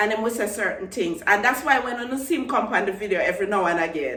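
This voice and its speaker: Someone with a Jamaican accent speaks at a moderate pace with lively intonation, with noticeable background noise. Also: woman. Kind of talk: casual vlog talk to camera.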